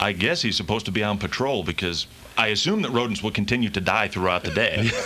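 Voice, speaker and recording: Over noticeable background noise, a man talks very fast at a fairly low pitch with ordinary pitch variation. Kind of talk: casual storytelling in radio banter.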